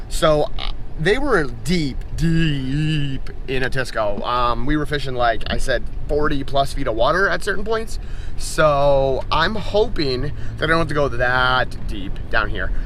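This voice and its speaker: A man at a fairly slow pace and very even loudness, with audible room echo and noticeable background noise. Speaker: fishing vlogger. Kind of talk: casual vlog narration. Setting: on a boat on a lake; in a truck, then on a boat. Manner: loud, yelling over engine.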